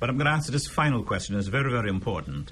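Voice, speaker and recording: Vocal fry runs through a man's medium-pitched voice as it makes very wide pitch swings. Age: 70s. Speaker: radio host, retired teacher. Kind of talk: radio talk show. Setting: studio.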